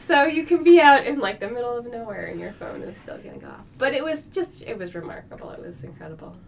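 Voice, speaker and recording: A high-pitched woman talks very fast with hardly any pauses and very wide pitch swings, over noticeable background noise. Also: big swings in loudness. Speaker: geoscience professor and associate dean. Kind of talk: interview. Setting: podcast studio. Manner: animated.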